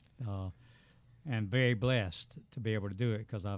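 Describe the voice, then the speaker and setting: A man with a Southern US accent speaks at a moderate pace, his fairly low pitch moving with ordinary variation. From US South, south Georgia. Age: 70s. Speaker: retired educator and veteran runner. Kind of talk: casual interview. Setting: studio.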